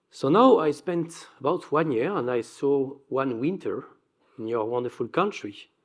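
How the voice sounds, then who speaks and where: Speaking at a fairly slow pace, a man uses lively intonation at a fairly high pitch. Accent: strong French. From Belgium. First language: French. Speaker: energy company executive. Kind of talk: conference presentation. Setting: stage with audience.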